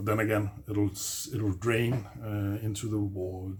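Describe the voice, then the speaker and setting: Speaking with a non-native accent, a man uses a fairly low, somewhat breathy voice and fairly even intonation. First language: not English. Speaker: DIY video maker. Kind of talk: tutorial. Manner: halting, many fillers; casual.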